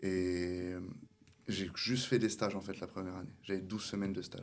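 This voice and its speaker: In a very deep, low pitch, a man speaks at a fairly quick pace with a monotone, flat intonation. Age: 20s. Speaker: barber and salon owner. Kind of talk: interview. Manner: hesitant, many fillers.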